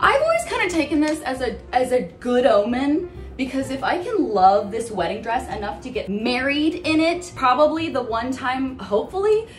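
Over faint music in the background, a woman with a high pitch talks at a moderate pace. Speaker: vlogger. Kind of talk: casual vlog chat. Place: bathroom.

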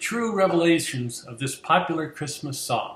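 There is audible room echo as a man speaks at a fairly high pitch with lively intonation. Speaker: voice actor. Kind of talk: mock-serious educational presentation. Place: home room. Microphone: webcam.

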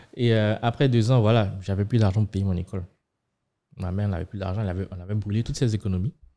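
Speaking at a very fast pace, a man with a fairly low pitch and a dark, mellow tone keeps his intonation fairly even. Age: 30s. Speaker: fintech startup co-founder; podcast guest. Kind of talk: podcast interview. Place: studio. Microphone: studio mic.

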